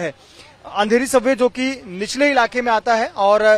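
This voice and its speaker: In a dry recording with no echo, a man speaks at an extremely high pitch with fairly even intonation. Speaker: TV field reporter. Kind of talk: news report to camera. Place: street. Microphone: handheld.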